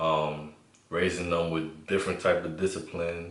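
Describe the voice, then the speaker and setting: The speech moves at a moderate pace, with audible echo from the room. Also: man. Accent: New York. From New York City (Bronx), Honduran family. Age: 20s. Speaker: co-host. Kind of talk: casual chat.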